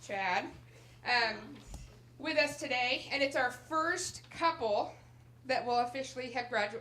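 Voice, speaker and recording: A woman uses a raised, projected voice at a fairly slow pace. There is noticeable background noise. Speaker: adult education center director. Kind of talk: graduation ceremony speech. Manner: loud; animated.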